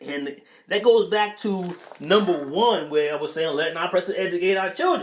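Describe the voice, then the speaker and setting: A man with an American accent talks in a high pitch with ordinary pitch variation. Noticeable background noise runs under his voice. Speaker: podcast host reading live chat. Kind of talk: casual livestream talk. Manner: hesitant, many fillers and repeats.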